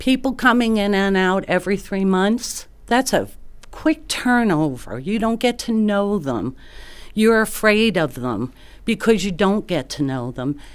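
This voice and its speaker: On a very clean recording with a silent background, a woman with a New York accent speaks at a medium pitch and a fairly slow pace, her voice making very wide pitch swings. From New York area. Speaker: retired nurse, resident giving public comment. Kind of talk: public comment at hearing. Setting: city planning commission meeting.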